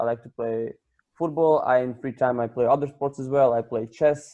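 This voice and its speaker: A voice with a Croatian accent has a dark, mellow tone and fairly even intonation. The pace is moderate. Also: man. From Croatia, Pula. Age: 20s. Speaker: project participant. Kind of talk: self-introduction.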